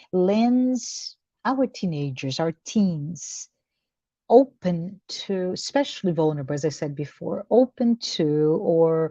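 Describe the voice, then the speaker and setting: Very slowly, a woman with a medium pitch speaks in a dry, close sound with no echo. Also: quiet background. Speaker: discussion group leader. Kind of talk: spiritual book discussion. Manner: halting, repetitive.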